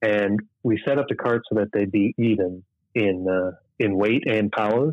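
Speaking in an Upper Midwest accent, a man uses a fairly low pitch and fairly even intonation. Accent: Upper Midwest American. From southern Minnesota, near Rochester. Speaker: sprint car racing driver. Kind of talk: casual interview. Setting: phone call.

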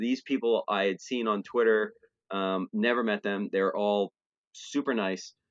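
Ordinary pitch variation marks this man's medium-pitched delivery in an ordinary speaking voice. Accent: American. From New Jersey, Trenton area. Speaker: podcast co-host and music fan. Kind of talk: casual chat.

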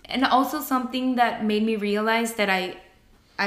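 A woman with a Spanish accent and fairly high pitch, at a moderate pace, with monotone, flat intonation. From Mexico, Monterrey. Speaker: podcast co-host. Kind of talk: casual chat. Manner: halting.

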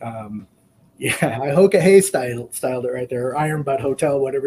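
A man's somewhat breathy voice, dark and mellow in tone, medium in pitch, at a moderate pace. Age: 50s. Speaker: long-distance motorcycle rider. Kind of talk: casual chat.

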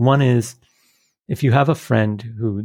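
A man's tone is dark and mellow, and his pitch varies in an ordinary way. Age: 40s. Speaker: networking dinner host. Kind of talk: interview.

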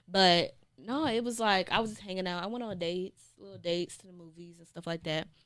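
A woman's unremarkable speaking voice at medium pitch, fairly quick with hardly any pauses, ordinary pitch variation and big swings in loudness. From North Carolina, Fayetteville. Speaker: couple vlogger. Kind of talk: casual chat.

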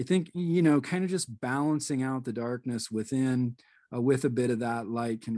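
A man speaks at medium pitch with a dark, mellow tone. The background is quiet. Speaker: spiritual podcast host. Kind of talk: casual chat.

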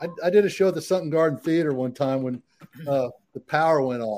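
Speaking at a very fast pace with a Texan accent, the voice shows ordinary pitch variation. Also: man. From Texas, San Antonio. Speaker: country singer-songwriter. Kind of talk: casual interview chat.

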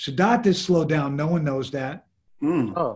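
Speaking with a New York accent, a man goes at a fairly slow pace. His pitch is fairly high and shows ordinary variation. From New York, Lower East Side. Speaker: music industry executive. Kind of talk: interview. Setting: video call.

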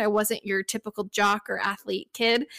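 A woman with a plain, everyday voice and an American accent speaks at a moderate pace and a fairly high pitch. The sound is dry and close with no echo. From Texas. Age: 30s. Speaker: hiker and travel influencer. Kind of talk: interview.

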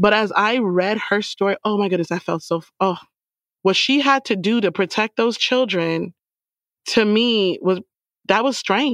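A woman with an ordinary speaking voice talks at a moderate pace and a medium pitch, with ordinary pitch variation. Her sound is dry and close with no echo, over a quiet background. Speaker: book club co-host. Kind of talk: casual book club discussion.

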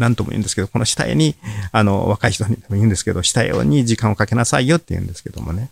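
Speaking at a very fast pace with lively intonation, a man with a fairly low pitch comes across in a dry, close sound with no echo. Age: 70s. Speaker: paper-cut artist. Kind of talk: casual interview chat.

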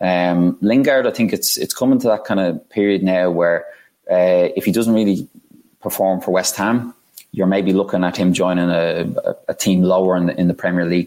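In an Irish accent, a man with a very deep, low pitch talks at a moderate pace with fairly even intonation. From Ireland. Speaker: sports business guest. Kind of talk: casual interview chat. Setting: video or remote call.

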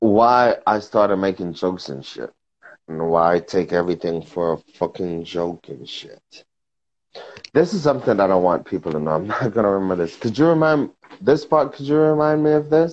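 Speaking at a fairly quick pace with an American accent, a man with a fairly low pitch swings his pitch very widely. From New York. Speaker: social media personality. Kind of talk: casual chat. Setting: Instagram live video call. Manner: animated.

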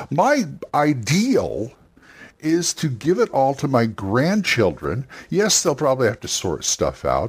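A fairly high-pitched man speaks in a somewhat breathy voice with very wide pitch swings. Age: 60s. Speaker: tabletop gaming podcast host. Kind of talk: casual monologue. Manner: halting.

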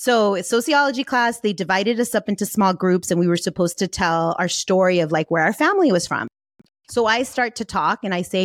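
In an unremarkable speaking voice with lively intonation and a moderate pace, the speech comes through dry and close with no echo in a very clean recording with a silent background. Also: woman. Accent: American. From US, San Fernando Valley, Los Angeles. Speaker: life and business coach. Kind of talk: interview.

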